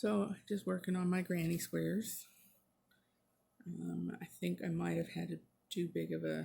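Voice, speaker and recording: A woman's very deep, low, dark and mellow voice with vocal fry, very wide pitch swings and a fairly slow pace. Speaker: craft vlogger. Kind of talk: casual chat. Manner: soft-spoken; halting.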